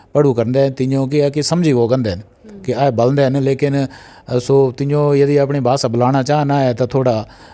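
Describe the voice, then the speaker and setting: With a dark, mellow tone, a man talks at a fairly high pitch. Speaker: college principal. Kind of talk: interview answer.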